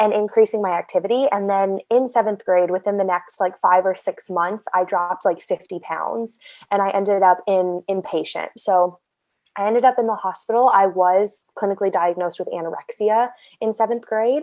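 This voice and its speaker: A woman with an American accent speaks at a medium pitch and a moderate pace. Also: fairly even intonation, dry, close sound with no echo. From US Midwest, Southern Illinois. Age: 20s. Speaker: eating disorder survivor interviewee. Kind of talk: interview testimony.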